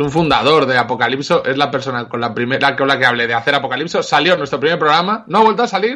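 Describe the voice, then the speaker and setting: Very fast speech from a fairly high-pitched man, full of lively intonation. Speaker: podcast host. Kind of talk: casual chat.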